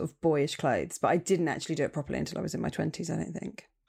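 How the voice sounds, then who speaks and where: A woman in a southern English accent, fairly low in pitch, with vocal fry and fairly even intonation, on a very clean recording with a silent background. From southern England, Portsmouth. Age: 30s. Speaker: stand-up comedian. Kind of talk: casual chat.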